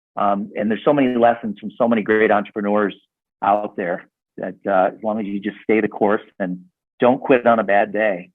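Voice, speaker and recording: Using a normal speaking voice with an American accent, a man with a fairly low pitch keeps a moderate pace and fairly even intonation while his loudness swings widely. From US Midwest, south suburbs of Chicago. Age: 60s. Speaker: network marketing entrepreneur and author. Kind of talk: casual interview chat.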